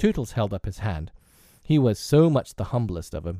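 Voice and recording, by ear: Text read aloud in a natural voice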